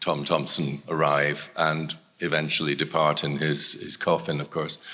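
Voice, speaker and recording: In a Scottish accent, the speaker has a bright, sharp tone and keeps a moderate pace. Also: man. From Scotland. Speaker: art gallery director. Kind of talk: public talk.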